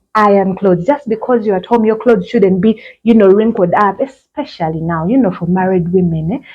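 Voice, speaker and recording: A woman's plain, everyday voice at medium pitch, with ordinary pitch variation and a fairly quick pace. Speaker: fashion vlogger. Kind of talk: tutorial. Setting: outdoors.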